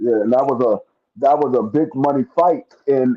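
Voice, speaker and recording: A man with a plain, everyday voice speaks at a medium pitch, his intonation lively. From New York, Bronx. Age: 40s. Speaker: podcast co-host. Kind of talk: casual chat.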